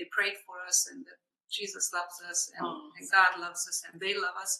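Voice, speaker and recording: This is a woman speaking. She has a Hungarian accent. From Hungary. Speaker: missionary and minister. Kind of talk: personal testimony in interview.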